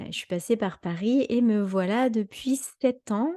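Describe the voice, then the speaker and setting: A woman speaks very slowly in a dark, mellow tone, with ordinary pitch variation. The sound is dry and close, with no echo. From western France (Anjou). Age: 30s. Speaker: holistic coach. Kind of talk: live talk. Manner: hesitant, many fillers.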